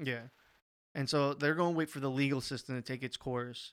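At a fairly quick pace, a man talks in an ordinary speaking voice of medium pitch with fairly even intonation, on a very clean recording with a silent background. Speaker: panelist. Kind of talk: casual banter, panel podcast.

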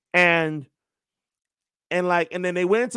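A man with an American accent talks at a high pitch and a very fast pace on a very clean recording with a silent background. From New York. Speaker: sports play-by-play announcer. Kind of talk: casual chat.

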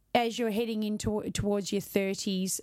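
With an Australian accent, a woman of medium pitch talks with fairly even intonation on a very clean recording with a silent background. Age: middle-aged. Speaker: podcast host, fitness business owner. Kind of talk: casual interview.

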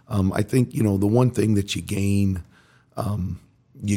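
A man speaks with an American accent at a fairly low pitch. His tone is dark and mellow, somewhat breathy. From Indiana, US Midwest. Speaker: high school football coach. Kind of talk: casual interview.

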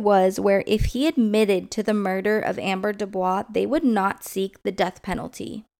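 In an American accent, a woman speaks at a moderate pace and medium pitch with ordinary pitch variation. It is a normal speaking voice, on a very clean recording with a silent background. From Southern California. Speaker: true crime podcast host. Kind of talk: true-crime narration, solemn and scripted-sounding, reading case facts. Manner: serious; measured, even pace.

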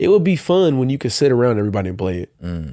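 A man speaks at a fairly quick pace in a dark, mellow tone at medium pitch, on a very clean recording with a silent background. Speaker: podcast co-host. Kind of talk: casual chat. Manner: stutters sometimes.

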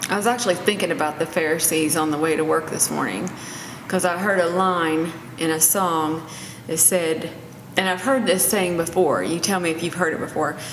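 Against noticeable background noise, a woman with a fairly low pitch talks at a fairly quick pace with fairly even intonation. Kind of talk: casual faith-based discussion.

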